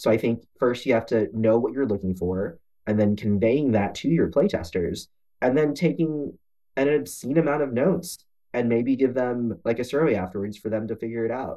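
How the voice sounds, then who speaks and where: With a dark, mellow tone and lively intonation, a man speaks in an American accent. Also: medium pitch for a man, moderate pace. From Texas. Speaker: board game designer and studio founder. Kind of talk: interview.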